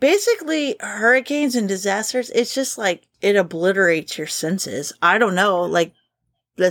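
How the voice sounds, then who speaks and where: Speaking with a Kentucky accent, a woman talks at a fairly slow pace with lively intonation in a very clean recording with a silent background. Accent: Kentucky Southern US. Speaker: podcast co-host. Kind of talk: casual chat.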